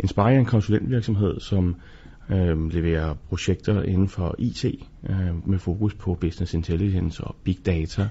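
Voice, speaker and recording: Fairly slow and somewhat breathy, a man speaks with a very deep, low pitch and fairly even intonation. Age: 40s. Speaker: business angel investor. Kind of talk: interview.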